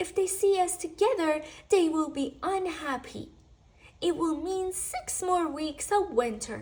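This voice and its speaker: A woman puts on a character voice pitched extremely high. She delivers it at a fairly slow pace. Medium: read story. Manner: soft, whispering at times.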